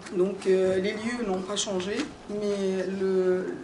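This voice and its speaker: Heard through audible room echo and noticeable background noise, a woman talks at a medium pitch. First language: not French (speaking French). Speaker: pilgrimage organizer, conference speaker. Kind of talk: conference talk. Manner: halting, many hesitations.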